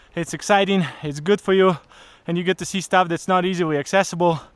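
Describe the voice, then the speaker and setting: A man talks at a fairly quick pace in a high voice. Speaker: travel vlogger. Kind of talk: vlog narration. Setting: outdoors. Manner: casual, mumbling to himself.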